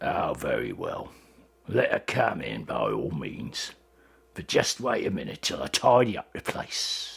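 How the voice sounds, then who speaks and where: Here a man puts on a raspy character voice. He goes at a fairly slow pace. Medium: read story. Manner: abrupt, changing moods.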